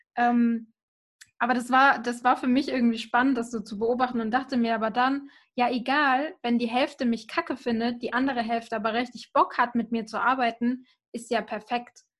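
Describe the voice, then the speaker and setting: Her pitch high and her intonation monotone and flat, a woman talks at a moderate pace on a very clean recording with a silent background. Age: 20s. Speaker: social media marketer. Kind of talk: casual chat.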